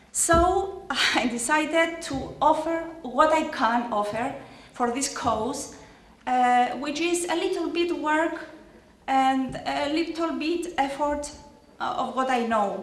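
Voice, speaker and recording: A woman speaks at a very slow pace with long, frequent pauses, in a room with audible echo. Her voice is high, with lively intonation. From Cyprus. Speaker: parent of program participant. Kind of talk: ceremony speech. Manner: halting.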